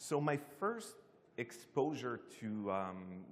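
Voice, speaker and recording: Using an unremarkable speaking voice, this man keeps a medium pitch that varies in an ordinary way. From Canada. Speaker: security team manager, conference speaker. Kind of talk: conference talk.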